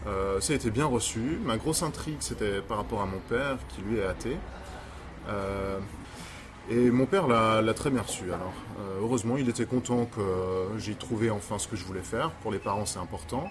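Over noticeable background noise, a man with a slight Swiss French accent speaks at a moderate pace. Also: fairly low pitch for a man, ordinary pitch variation. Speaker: pastor. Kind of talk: casual chat.

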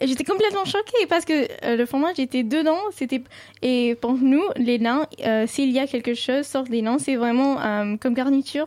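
Speaking at a fairly slow pace with a Sindhi accent, a woman uses a high voice with ordinary pitch variation. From Dubai, Indian family from north India. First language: Sindhi (speaking French). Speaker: student and cultural ambassador. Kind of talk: radio interview.

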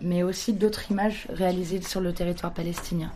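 A woman talks in a normal speaking voice with fairly even intonation. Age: 20s. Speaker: photographer. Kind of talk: interview.

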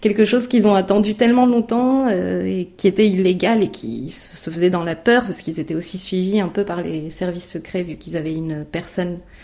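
Here a woman talks at a moderate pace. Her pitch is medium, with ordinary variation. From France, born in Romania. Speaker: student. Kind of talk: interview testimony. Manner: hesitant, many fillers.

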